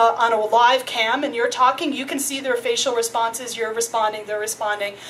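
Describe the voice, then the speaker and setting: There is noticeable background noise. Through it, a woman speaks at a fairly quick pace. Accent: American. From US, New York City. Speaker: invited speaker. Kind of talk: public discussion. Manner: fast.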